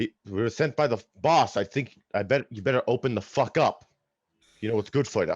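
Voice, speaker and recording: Putting on a gruff character voice, a man talks at a fairly quick pace with a medium pitch and ordinary pitch variation. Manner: threatening.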